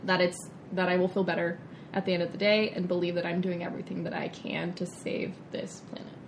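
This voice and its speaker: This woman talks at a fairly quick pace with a medium pitch. Noticeable background noise runs under her voice. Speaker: vegan chef and nutrition coach. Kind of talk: interview. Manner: animated.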